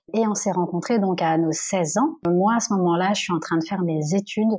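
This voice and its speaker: A woman speaks in a plain, everyday voice at a medium pitch. Her intonation stays fairly even. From Normandy, France. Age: 30s. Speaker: HR assistant. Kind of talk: testimony.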